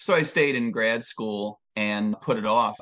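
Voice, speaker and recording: At a fairly slow pace, a man with an ordinary speaking voice talks at medium pitch with ordinary pitch variation. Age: 60s. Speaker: presidential candidate, former police officer and economist. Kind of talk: interview.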